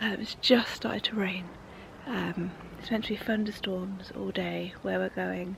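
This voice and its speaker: Someone speaks at a fairly slow pace with an English accent. Background noise is noticeable. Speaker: motorsport vlogger. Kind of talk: vlog. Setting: outdoors.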